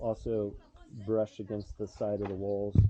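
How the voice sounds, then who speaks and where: A man's fairly low-pitched voice at a fairly slow pace, with noticeable background noise. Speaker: water engineer giving site review. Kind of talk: on-site technical walkthrough.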